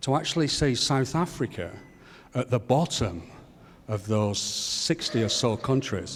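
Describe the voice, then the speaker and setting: A man with a British accent and lively intonation. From United Kingdom. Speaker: educator, audience member. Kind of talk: audience question at a panel forum. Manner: animated.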